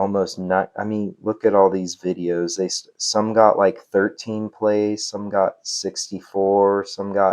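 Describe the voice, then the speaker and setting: Against a quiet background, a man speaks fairly slowly at a fairly low pitch in a monotone, flat way. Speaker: affiliate marketing creator. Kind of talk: tutorial. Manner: halting, filler-heavy; casual.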